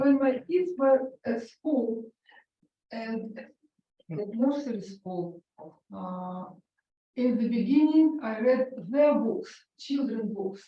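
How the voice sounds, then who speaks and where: A woman with a Russian accent speaks at a very slow pace in a high pitch, her lively intonation broken by long, frequent pauses. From Ukraine. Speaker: author and concert pianist. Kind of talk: author talk interview. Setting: library event with audience. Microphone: held too far from mouth, hard to hear.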